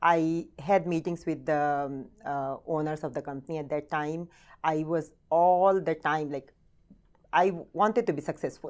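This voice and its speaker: A woman with an Indian accent speaks at a moderate pace in a very deep, low voice with fairly even intonation and long, frequent pauses, on a very clean recording with a silent background. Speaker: real estate team leader. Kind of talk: interview. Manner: halting.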